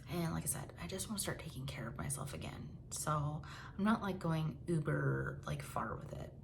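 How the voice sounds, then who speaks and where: Noticeable background noise and audible room echo around a woman speaking at a moderate pace. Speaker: lifestyle vlogger. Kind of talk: casual monthly update vlog. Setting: home, at night. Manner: quiet, lowered volume; casual, filler-heavy.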